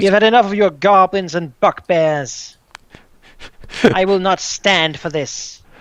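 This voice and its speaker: A put-on character voice sounds strained at a fairly slow pace. Long pauses come often. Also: man, high pitch for a man. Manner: defiant, angry.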